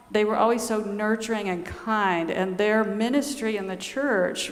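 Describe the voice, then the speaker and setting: A woman speaks at a fairly slow pace in a Southern US accent. There is noticeable background noise and audible room echo. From US South, Georgia. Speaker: nun and author. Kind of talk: talk to a church audience.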